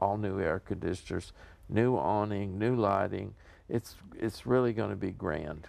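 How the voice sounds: A man speaks low in pitch at a fairly slow pace, with vocal fry. His tone is slightly mellow and his pitch varies in an ordinary way.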